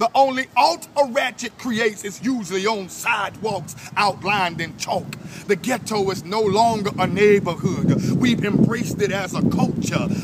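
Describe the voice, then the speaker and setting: Against noticeable background noise, a man speaks at a high pitch and a moderate pace with ordinary pitch variation. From New Orleans. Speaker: spoken word poet. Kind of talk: spoken word poetry performance. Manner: forceful, rhythmic.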